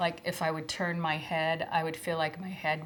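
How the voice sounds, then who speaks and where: A soft-spoken woman talks at a fairly slow pace, fairly low in pitch. Her intonation is monotone and flat over noticeable background noise. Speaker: former schoolteacher. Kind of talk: testimony.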